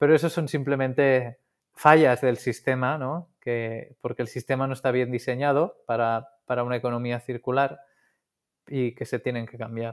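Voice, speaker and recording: A man talks with fairly even intonation at a moderate pace in a very clean recording against a silent background. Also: medium pitch for a man. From Catalonia, Spain (coast north of Barcelona). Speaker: engineer and founder of a reusable packaging company. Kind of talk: interview. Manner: halting, with frequent repetitions.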